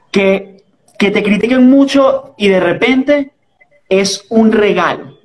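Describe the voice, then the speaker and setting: In a Caracas Venezuelan accent, someone talks at a very slow pace with ordinary pitch variation and very even loudness. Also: man, high pitch for a man. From Venezuela, Caracas. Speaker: podcast host. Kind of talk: casual chat.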